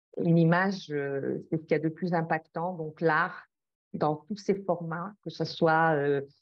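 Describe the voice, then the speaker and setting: A woman with a fairly low pitch speaks at a fairly slow pace, her intonation fairly even. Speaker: project founder, climate and art curator. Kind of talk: interview. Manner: halting, many hesitations.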